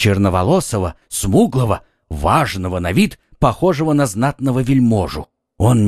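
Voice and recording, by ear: Against a quiet background, someone reads aloud in a natural voice with lively intonation.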